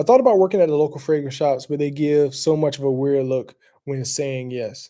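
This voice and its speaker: Moving at a fairly quick pace, a man with a Southern US accent speaks in a dark, mellow tone at a fairly high pitch. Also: ordinary pitch variation. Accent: Southern country. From US South, South Carolina. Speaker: fragrance reviewer. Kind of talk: casual chat. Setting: live stream. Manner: casual, rambling with fillers.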